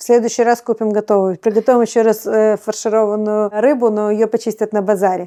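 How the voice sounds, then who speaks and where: A woman with a fairly high pitch and a dark, mellow tone talks at a fairly quick pace with hardly any pauses, very even loudness and monotone, flat intonation over a quiet background. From Odesa, Ukraine. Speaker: cooking blogger. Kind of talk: interview answer.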